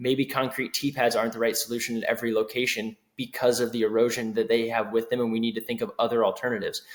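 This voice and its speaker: Speaking at a very fast pace, a man holds a medium pitch in a monotone, flat intonation. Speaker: board election candidate. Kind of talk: candidate interview answer.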